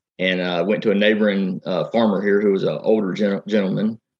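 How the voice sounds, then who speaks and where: In a Southern US accent, a man with a fairly low voice speaks at a fairly quick pace. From South Carolina. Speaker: farmer and tech entrepreneur. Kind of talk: interview.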